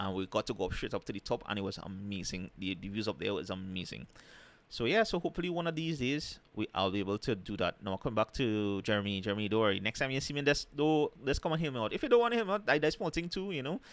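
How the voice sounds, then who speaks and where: Over a silent background in a very clean recording, a man with a Trinidadian accent talks at a very fast pace with very wide pitch swings. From Trinidad and Tobago. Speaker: travel and food vlogger. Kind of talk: casual live stream chat. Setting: live stream.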